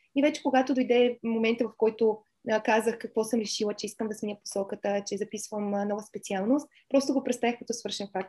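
Fairly quick speech from a woman with a fairly high yet dark, mellow voice and fairly even intonation. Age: 30s. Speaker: psychology student and Chinese translator. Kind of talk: interview.

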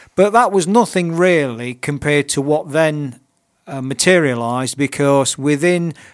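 On a very clean recording with a silent background, a man with an East Midlands accent speaks at a fairly high pitch with ordinary pitch variation. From Nottingham, England. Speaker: purpose mentor. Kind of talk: interview. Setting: radio studio.

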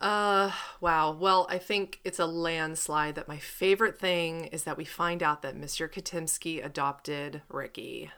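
A woman with an American accent speaks at a fairly slow pace with hardly any pauses, her fairly low pitch, bright and sharp tone, and fairly even intonation captured on a very clean recording with a silent background. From Pennsylvania. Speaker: podcast co-host. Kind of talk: casual chat.

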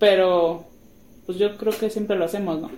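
Noticeable noise sits behind this recording. The woman speaking uses lively intonation. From Guadalajara, Mexico. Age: 20s. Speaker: podcast co-host, preschool teacher, mother. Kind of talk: casual chat.

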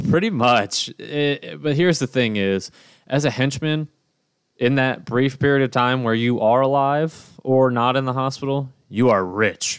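A man with a normal speaking voice talks at a fairly slow pace in a medium pitch. His pitch variation is ordinary and his loudness very even. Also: very clean recording, silent background. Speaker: podcast host. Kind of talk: casual banter podcast chat. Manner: joking, talkative.

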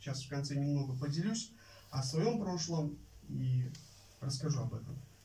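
Audible room echo follows a man as he talks fairly slowly. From Uzbekistan. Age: 20s. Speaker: Bible college student preacher. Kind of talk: sermon. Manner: halting, many filler sounds.

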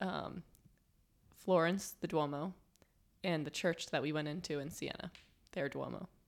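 Using fairly even intonation, a woman at fairly low pitch talks at a moderate pace with long, frequent pauses. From New Jersey. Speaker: college student. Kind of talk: casual chat. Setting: studio.

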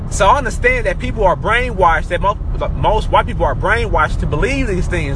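A man with an American accent speaks at a fairly quick pace in an animated tone. Audible room echo and noticeable background noise surround him. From Oklahoma. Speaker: podcaster. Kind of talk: monologue rant.

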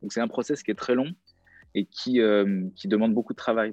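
With a normal speaking voice, a man talks in a fairly low pitch with ordinary pitch variation. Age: 30s. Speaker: DJ and music producer. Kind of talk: casual chat.

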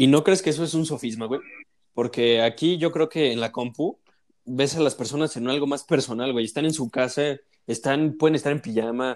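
The speech moves at a moderate pace with ordinary pitch variation. The recording is very clean, with a silent background. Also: man. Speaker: university student. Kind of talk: casual chat.

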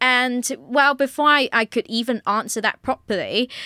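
In a very clean recording with a silent background and a dry, close sound with no echo, a woman with a British accent speaks at a moderate pace in a high voice. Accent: British-sounding. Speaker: podcast host. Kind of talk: solo podcast monologue.

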